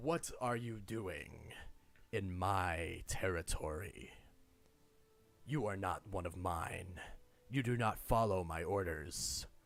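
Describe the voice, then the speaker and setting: Booming put-on character voice of a man, very deep and low in pitch, at a very slow pace with long, frequent pauses. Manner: commanding, distant, echoing.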